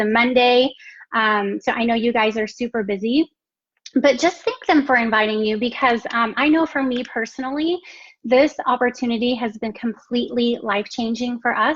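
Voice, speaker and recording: A woman's high-pitched voice, delivered at a medium speed, shows a normal amount of pitch movement. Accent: American. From Texas. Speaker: network marketing entrepreneur. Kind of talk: live stream business presentation.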